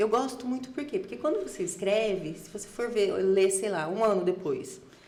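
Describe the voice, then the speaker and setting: A woman's medium-pitched voice with lively intonation, at a moderate pace, over noticeable background noise. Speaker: podcast guest. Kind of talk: casual chat.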